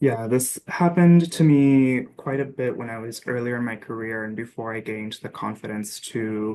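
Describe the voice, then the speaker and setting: With an American accent, a man speaks in a dark, mellow, medium-pitched voice, his loudness swinging widely while his pitch varies in an ordinary way. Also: moderate pace, hardly any pauses. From US with teen years in Dominican Republic. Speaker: survey researcher. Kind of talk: panel discussion.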